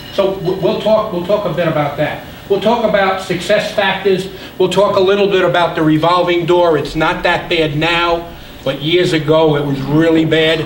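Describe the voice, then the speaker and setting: A man's high voice with fairly even intonation, audible room echo and noticeable background noise. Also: moderate pace. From New York City (Brooklyn). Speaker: business consultant. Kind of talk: lecture. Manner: halting, many repetitions and fillers.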